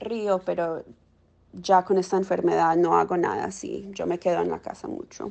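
At a fairly slow pace, a woman speaks with medium pitch. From Miami, Colombian-American family. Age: 20s. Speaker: social worker with long COVID. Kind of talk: interview testimony. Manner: halting, searching for words.

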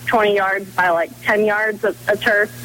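Noticeable background noise sits behind a woman speaking at a moderate pace and fairly high pitch. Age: young. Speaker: strength and speed coach. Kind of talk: radio interview.

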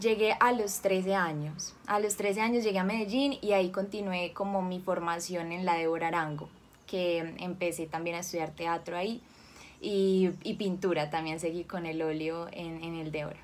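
A plain, everyday voice belongs to a woman with a fairly low pitch. She keeps a moderate pace and fairly even intonation. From Colombia, Cali. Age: 20s. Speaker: actress. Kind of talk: interview.

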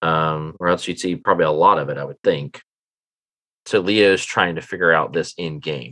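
A man's very deep, low voice with a bright, sharp tone, ordinary pitch variation and a moderate pace. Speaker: game master of a role-playing podcast. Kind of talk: tabletop role-play narration and casual chat. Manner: animated.

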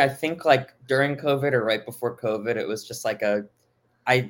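In an American accent, a man with a plain, everyday voice speaks at a fairly high pitch with ordinary pitch variation. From Miami, Florida. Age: 20s. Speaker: music fan and former brand ambassador. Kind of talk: casual chat.

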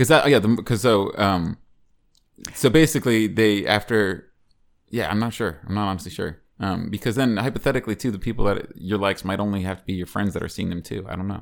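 On a very clean recording with a silent background, a man with an unremarkable speaking voice talks fairly quickly at a fairly low pitch, with ordinary pitch variation. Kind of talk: casual chat. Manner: profane, joking.

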